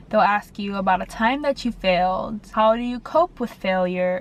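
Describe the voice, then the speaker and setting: A woman speaks in a plain, everyday voice. Her pace is fairly slow and her pitch variation ordinary. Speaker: dental school applicant vlogger. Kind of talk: casual vlog tips. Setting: in a car.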